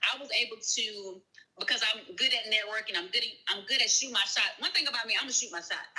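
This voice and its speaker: Very fast and fairly high-pitched, a woman with a Southern US accent talks with ordinary pitch variation over noticeable background noise. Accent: Southern US, sounds country. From US South. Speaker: virtual assistant and grant writer. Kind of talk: live-stream interview. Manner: casual, conversational.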